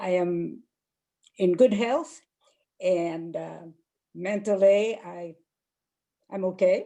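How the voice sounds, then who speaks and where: A woman talks at a very slow pace in a dark, mellow tone. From France. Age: 90s. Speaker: women's fly fishing club founder. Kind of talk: personal talk.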